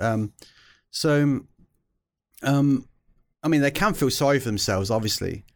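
A man's fairly high voice with lively intonation, on a very clean recording with a silent background. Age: 40s. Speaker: neuroscience professor. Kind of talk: casual chat. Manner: halting.

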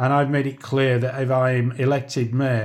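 A man with a Liverpool accent talks fairly slowly at medium pitch on a very clean recording with a silent background. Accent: Liverpool (Scouse). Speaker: socialist mayoral candidate and trade unionist. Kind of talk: political discussion podcast.

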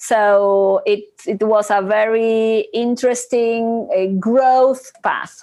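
In a Spanish accent, a woman talks at a very slow pace with hardly any pauses, her dark, mellow voice holding fairly even intonation and very even loudness. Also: fairly high pitch for a woman. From Argentina. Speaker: corporate treasury executive. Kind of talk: interview.

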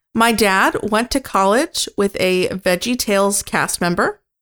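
Recorded with a dry, close sound and no echo, a woman speaks very slowly at medium pitch with ordinary pitch variation. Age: 20s. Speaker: podcast co-host. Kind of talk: casual chat.

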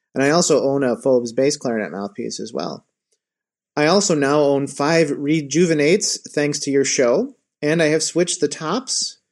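With an American accent and a normal speaking voice, a man speaks at a fairly high pitch and a moderate pace against a quiet background. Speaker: listener, woodwind teacher.

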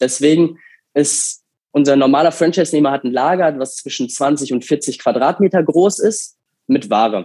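A dark, mellow male voice, fairly high in pitch, with ordinary pitch variation and a moderate pace. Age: 20s. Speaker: franchise master licensee for pet food. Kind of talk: interview. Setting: video call.

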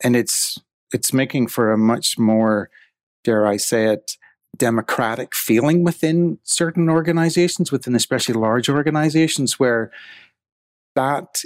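In an Irish accent, a man speaks with ordinary pitch variation and very even loudness, the sound dry and close with no echo. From Ireland. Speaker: tech company CEO. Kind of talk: podcast interview.

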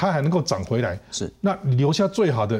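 Somewhat breathy, a man speaks at a fairly quick pace with very wide pitch swings. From Taiwan, Taichung. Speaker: marine biodiversity researcher. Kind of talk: interview.

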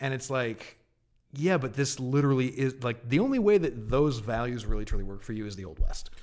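A man with a plain, everyday voice, medium in pitch, fairly quick in pace, with lively intonation. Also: big swings in loudness. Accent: American. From Massachusetts (Martha's Vineyard). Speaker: video game journalist. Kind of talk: casual chat.

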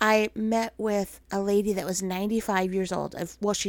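Speaking at a moderate pace in an animated tone, a woman with a medium-pitched voice comes through on a very clean recording against a silent background. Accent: American. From Minnesota. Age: 40s. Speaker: podcast host. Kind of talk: faith-based personal storytelling monologue. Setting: home recording. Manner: animated, frequent laughter.

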